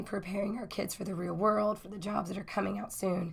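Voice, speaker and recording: A woman talks at a medium pitch with vocal fry. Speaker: university instructor. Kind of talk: recorded course overview. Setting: recorded lecture video. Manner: casual, filler-heavy.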